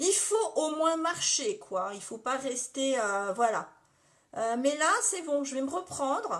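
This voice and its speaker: A woman's high voice with very wide pitch swings at a very slow pace. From Lorraine, France (Metz). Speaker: makeup live streamer. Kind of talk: casual makeup tutorial livestream. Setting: live stream reading viewer comments. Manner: chatty, informal.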